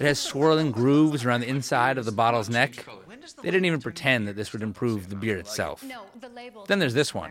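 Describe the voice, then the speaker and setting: Over noticeable background noise, a man at a medium pitch talks at a fairly quick pace in an animated tone with lively intonation. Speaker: podcast host. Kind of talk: comedic rant. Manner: indignant, sarcastic; animated, incredulous.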